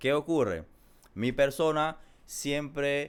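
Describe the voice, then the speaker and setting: This very clean recording, with a silent background, captures a man speaking with a Panamanian accent. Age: 20s. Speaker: small business owner. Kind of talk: casual interview.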